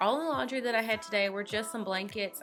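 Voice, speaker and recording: A woman speaks at a fairly quick pace in a Southern US accent, her intonation lively. Music plays in the background. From North Carolina. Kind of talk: casual talk to camera.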